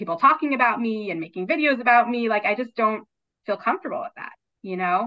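A woman speaks in a Baltimore accent with lively intonation. Her pitch sits fairly high. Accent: American, Baltimore. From US, Baltimore. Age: 30s. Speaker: clinical social worker, book editor. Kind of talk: casual interview.

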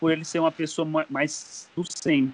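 A man with a fairly high pitch and a strong Bahian accent, in a dry, close sound with no echo. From Bahia backlands, Brazil. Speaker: mechanical engineer, master's student. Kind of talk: casual political discussion. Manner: halting, many fillers.

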